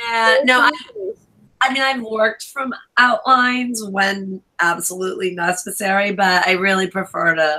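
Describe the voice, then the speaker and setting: This woman has an unremarkable speaking voice and an American accent. Her pitch is medium, her pace moderate, and her pitch variation ordinary. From New York. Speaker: author. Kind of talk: casual chat.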